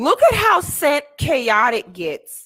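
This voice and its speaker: On a very clean recording with a silent background, a woman speaks in a raised, projected voice, high in pitch, with a bright, sharp, animated tone. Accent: American. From Florida. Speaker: YouTuber reacting to a debate clip. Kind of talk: commentary on a replayed clip.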